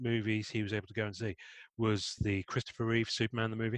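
In an English accent, a man with a fairly low pitch speaks very fast, with a dry, close sound with no echo and a quiet background. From Devon, rural England. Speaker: podcast host. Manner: chatty, jokey.

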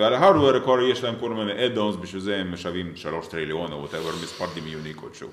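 Over noticeable background noise, a man with a fairly low pitch talks at a very fast pace, with big swings in loudness. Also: lively intonation, hardly any pauses. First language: Russian (speaking Hebrew). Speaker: tech entrepreneur. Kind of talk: interview.

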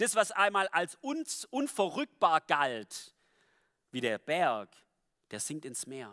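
A man's high, bright, sharp voice at a very slow pace, with very wide pitch swings and long, frequent pauses, on a very clean, dry, close recording with a silent background and no echo. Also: big swings in loudness. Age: 20s. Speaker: lay preacher. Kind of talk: sermon.

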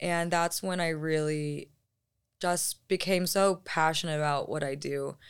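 Speaking with an American accent in monotone, flat intonation, the voice moves at a fairly slow pace on a very clean recording with a silent background. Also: woman, fairly low pitch for a woman. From Arizona. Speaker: travel blogger and content creator. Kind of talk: casual chat.

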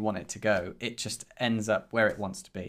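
Using an ordinary speaking voice, a man talks at medium pitch and a moderate pace with fairly even intonation. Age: 30s. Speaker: podcast co-host and indie developer. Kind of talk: casual chat.

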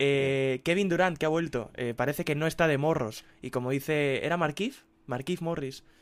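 Talking at a moderate pace, a man has a plain, everyday voice and a fairly high pitch. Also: ordinary pitch variation. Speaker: sports editor. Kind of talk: casual chat.

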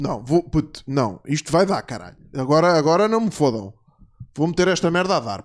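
A man talks at a moderate pace in a fairly high pitch. His pitch swings very widely. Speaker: podcast host. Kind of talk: casual chat.

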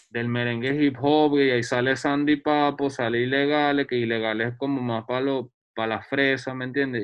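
A man talks in an unremarkable speaking voice. His pitch is fairly high and his pace moderate. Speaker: photographer and researcher. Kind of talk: casual chat.

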